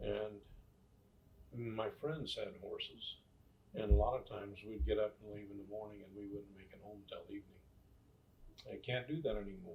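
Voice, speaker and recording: The man has a western US accent. He speaks at a moderate pace. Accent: western American. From US West, rural Nevada. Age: 70s. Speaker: grandfather telling life stories. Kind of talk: casual interview, storytelling.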